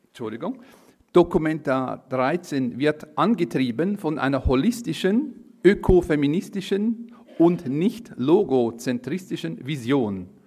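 A man speaks in a Swiss accent with a fairly high pitch and a dark, mellow tone. His pitch swings very widely at a fairly slow pace. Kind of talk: reading aloud.

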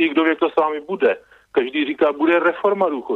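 A man's lively intonation at a fairly quick pace. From Czech Republic. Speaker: radio caller. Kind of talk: phone-in opinion. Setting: phone call.

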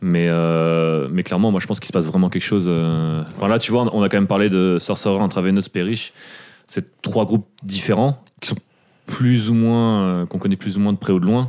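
A man speaks in a fairly low pitch at a moderate pace. His tone is dark and mellow, with ordinary pitch variation. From Paris suburbs, France. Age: 30s. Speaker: punk/hardcore podcast co-host. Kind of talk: casual chat.

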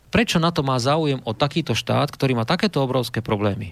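Over a silent background in a very clean recording, a man talks at a fairly quick pace with medium pitch and ordinary pitch variation. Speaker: retired army officer and diplomat. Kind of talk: radio talk show interview. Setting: studio. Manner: hesitant, many fillers.

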